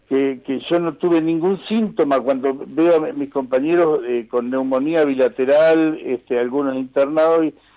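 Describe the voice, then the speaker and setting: A man talks at a moderate pace in a fairly high pitch. His pitch variation is ordinary. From Argentina, Pehuajó (Buenos Aires province). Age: 60s. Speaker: nurse. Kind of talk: phone interview. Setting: phone call. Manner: halting, many repetitions and fillers.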